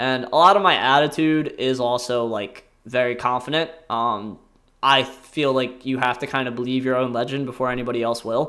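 With an American accent, a man talks at a moderate pace in a medium-pitched, bright, sharp tone and fairly even intonation. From US Northeast, rural southern New Jersey. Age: 20s. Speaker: podcast host, former college wrestler. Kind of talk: casual monologue. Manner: rambling, filler-heavy with frequent laughs.

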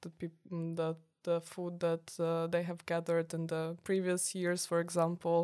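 A woman's fairly low, dark, mellow voice moves at a fairly slow tempo. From Ukraine, Kyiv. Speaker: university student. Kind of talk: casual interview. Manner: halting, many fillers.

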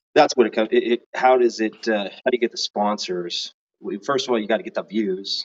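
A man has a plain, everyday voice with an American accent. He talks at a fairly quick pace in a medium pitch with ordinary pitch variation. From Northern California. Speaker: competitive shooter. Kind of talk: casual chat.

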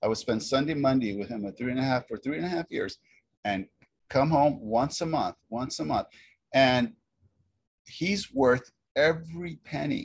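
With lively intonation and a somewhat breathy voice, a man speaks at a moderate pace and a fairly high pitch, leaving long, frequent pauses. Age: 50s. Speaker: hair cutting educator. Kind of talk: casual chat. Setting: video call.

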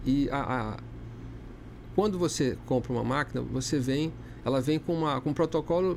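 Long, frequent pauses break up a man's speech at a moderate pace. His loudness stays very even. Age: 50s. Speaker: dermatologist and clinic owner. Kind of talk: casual interview. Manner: halting, frequent repetitions.

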